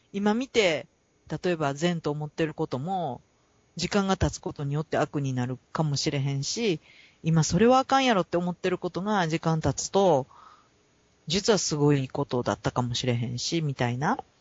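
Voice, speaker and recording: The speech has a Kansai accent. The pace is moderate. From Kansai, Japan. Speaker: podcast co-host. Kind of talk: casual chat.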